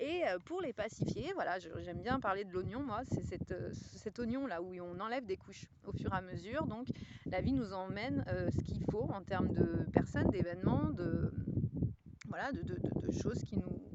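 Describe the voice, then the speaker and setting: A woman talking at a moderate pace is heard against noticeable background noise. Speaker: spiritual guide. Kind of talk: casual talk to camera. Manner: hesitant, reflective.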